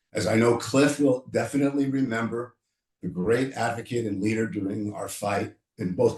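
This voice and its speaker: Speaking at a moderate pace, a man has a medium-pitched, somewhat breathy voice. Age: 60s. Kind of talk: panel discussion. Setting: video call. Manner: animated.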